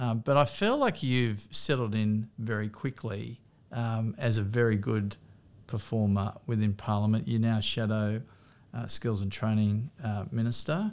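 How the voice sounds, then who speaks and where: This man has an Australian accent and a medium pitch. He speaks at a fairly slow pace with fairly even intonation. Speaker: politician and podcast host. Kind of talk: casual interview chat.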